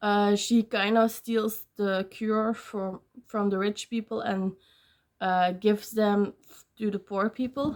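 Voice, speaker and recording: A woman with a non-native accent, very slow pace, monotone, flat intonation and big swings in loudness. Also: medium pitch for a woman. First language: not English. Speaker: book vlogger. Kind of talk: casual vlog talk. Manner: hesitant, many fillers.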